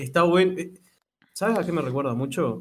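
A man's voice, an ordinary speaking voice, at a fairly quick pace with lively intonation. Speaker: podcast co-host. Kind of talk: casual chat.

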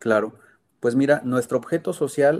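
A man's dark, mellow voice on a very clean recording with a silent background. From Mexico, Sierra Gorda of Guanajuato. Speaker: foundation co-founder. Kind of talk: interview.

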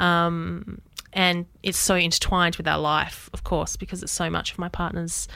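A bright, sharp tone with an Australian accent, fairly slow in pace, on a very clean recording with a silent background. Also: woman. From Western Australia. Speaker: circus school executive producer. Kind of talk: interview. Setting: studio.

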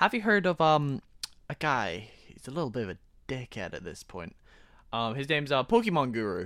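With vocal fry and a very deep, low pitch, a woman talks at a fairly quick pace. Her tone is animated, and her pitch swings very widely. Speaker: podcast co-host. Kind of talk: casual chat. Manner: animated, banter.

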